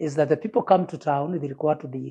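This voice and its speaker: A man talks at a fairly quick pace with a fairly high pitch and ordinary pitch variation. His voice is somewhat breathy, with a dark, mellow tone. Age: 60s. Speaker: retired urban planner. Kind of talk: interview testimony.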